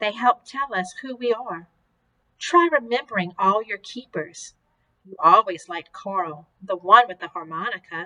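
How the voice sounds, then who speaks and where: Using a put-on character voice, a woman speaks in a gentle tone at a moderate pace. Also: medium pitch for a woman. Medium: read story.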